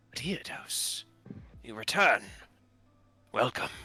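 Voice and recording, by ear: Putting on a character voice that is robotic, croaky and raspy, a man speaks with a fairly high pitch over faint music in the background.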